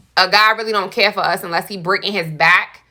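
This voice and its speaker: A woman speaks loudly with a bright, sharp tone. Her intonation is monotone and flat. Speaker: podcast guest. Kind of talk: casual chat.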